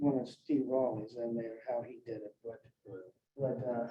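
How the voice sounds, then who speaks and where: Here a man with a dark, mellow tone speaks at a fairly slow pace. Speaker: appraisal panel presenter. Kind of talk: presentation. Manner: halting, many repetitions.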